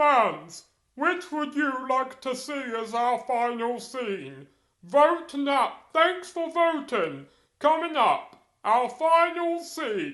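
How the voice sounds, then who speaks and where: A put-on character voice, high in pitch, delivers its lines at a very slow pace. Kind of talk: formal proclamation. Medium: machinima. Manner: formal, measured.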